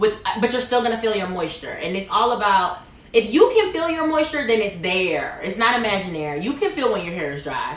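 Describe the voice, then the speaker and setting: A woman speaks at a fairly quick pace with an animated tone and very wide pitch swings. Audible room echo and noticeable background noise fill the recording. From Caribbean. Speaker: hairstylist launching hair care line. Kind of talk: product launch presentation.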